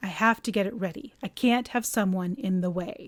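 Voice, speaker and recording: A woman's raspy, put-on character voice at medium pitch and a moderate pace. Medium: read story. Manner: steely, clipped.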